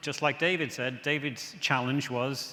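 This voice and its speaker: This man has a medium-pitched voice with an English accent. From England. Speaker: software presenter. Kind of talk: conference product demo.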